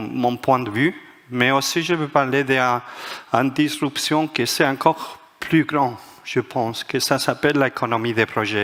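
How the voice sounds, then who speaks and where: A man speaks at medium pitch with fairly even intonation. Noticeable background noise runs behind him. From Spain, Madrid. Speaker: management author and speaker. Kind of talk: conference talk. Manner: halting, many hesitations.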